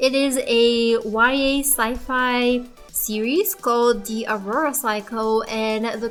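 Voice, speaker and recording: A woman's high-pitched voice with a non-native accent and ordinary pitch variation, music in the background. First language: not English. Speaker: artist and book reviewer. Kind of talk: casual voice-over while showing art process. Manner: hesitant, with fillers.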